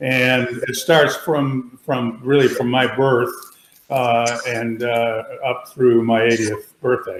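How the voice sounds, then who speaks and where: In an American accent, a medium-pitched man talks at a very slow pace with monotone, flat intonation. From Wisconsin. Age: 80s+. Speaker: senior center member, participant. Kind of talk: casual chat on video call. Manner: halting, repetitive.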